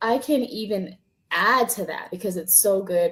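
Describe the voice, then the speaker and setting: A woman talks fairly slowly in a plain, everyday voice with ordinary pitch variation. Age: 30s. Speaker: social worker. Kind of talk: interview.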